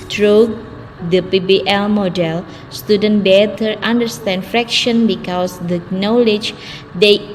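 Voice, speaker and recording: Over noticeable background noise, a woman with a medium-pitched voice speaks very slowly with fairly even intonation. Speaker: student presenter. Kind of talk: academic presentation.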